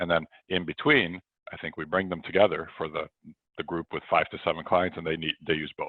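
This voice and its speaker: A man with an American accent, very deep and low in pitch, fairly quick in pace, with fairly even intonation. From United States. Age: 40s. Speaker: sales author and speaker. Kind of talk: presentation to coaches on a video call.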